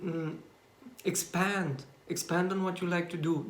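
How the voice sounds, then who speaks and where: A man speaks at high pitch with a Bulgarian accent. Audible room echo surrounds his voice. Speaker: YouTuber. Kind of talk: personal vlog monologue. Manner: halting, many fillers and restarts.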